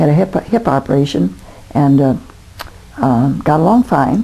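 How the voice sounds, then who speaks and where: A woman speaks at a fairly slow pace with an American accent. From US Midwest, Toledo, Ohio. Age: 80s+. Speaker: grandmother interviewed about her life. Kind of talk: oral history interview. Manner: halting, many fillers.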